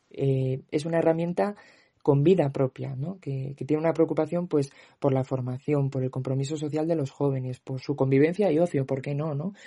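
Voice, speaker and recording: A man speaks at a fairly high pitch with a dark, mellow tone that is somewhat breathy. His intonation stays fairly even against a quiet background. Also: moderate pace. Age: 20s. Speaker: youth brotherhood member. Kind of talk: interview testimony.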